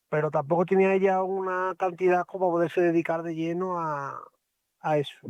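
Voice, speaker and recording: A high-pitched man at a moderate pace with monotone, flat intonation over a quiet background. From Spain, Extremadura (Badajoz). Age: 40s. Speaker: truck driver. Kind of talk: interview.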